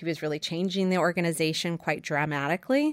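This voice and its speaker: A woman with an American accent and a fairly low voice, in a dry, close sound with no echo and a very clean recording over a silent background. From New York. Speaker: marketing executive. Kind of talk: interview. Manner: hesitant with many fillers.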